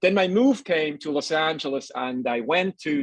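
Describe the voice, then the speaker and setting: A man with a Swiss accent, very wide pitch swings and a dry, close sound without echo. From Switzerland. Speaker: nutritionist. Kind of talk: casual chat. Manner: halting.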